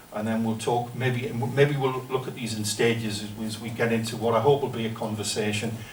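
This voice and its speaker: A man with a northern English accent speaks fairly quickly at medium pitch with monotone, flat intonation. There is audible room echo and noticeable background noise. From northern England. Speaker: professor. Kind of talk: lecture. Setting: seminar room with audience. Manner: hesitant, many fillers.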